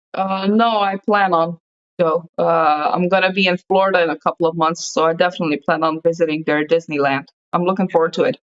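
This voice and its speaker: A woman with a Slovenian accent, fairly low in pitch, fairly quick, with fairly even intonation and very even loudness. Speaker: podcast host. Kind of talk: casual chat.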